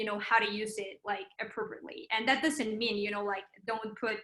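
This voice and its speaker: This woman's voice has a bright, sharp tone and a fairly high pitch. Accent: Spanish. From Mexico. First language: Spanish. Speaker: PR account executive. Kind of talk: interview. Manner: hesitant, many fillers.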